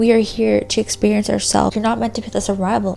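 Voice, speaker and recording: A woman speaks over noticeable background noise. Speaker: spiritual content creator. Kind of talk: casual talk to camera. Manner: whispered.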